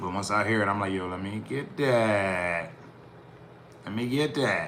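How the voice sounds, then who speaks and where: A man with a fairly low pitch speaks at a fairly slow pace amid audible room echo and noticeable background noise. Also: ordinary pitch variation. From US Northeast, Philadelphia. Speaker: rapper and music producer streamer. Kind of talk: casual live-stream talk while mixing music.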